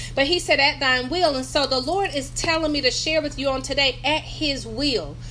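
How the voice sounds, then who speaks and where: Amid noticeable background noise, a woman with a North Carolina accent and a high pitch speaks in a raised, projected voice with an animated tone and hardly any pauses. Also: moderate pace. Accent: Southern US (North Carolina). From North Carolina, US South. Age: 50s. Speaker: pastor and business coach. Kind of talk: religious motivational talk. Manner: animated, conversational.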